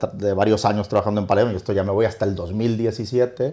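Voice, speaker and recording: Monotone and flat, a man speaks with a slight Mexican accent in a dark, mellow tone. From northern Mexico (Torreón). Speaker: hotel company executive. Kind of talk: interview. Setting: in-person at a hotel.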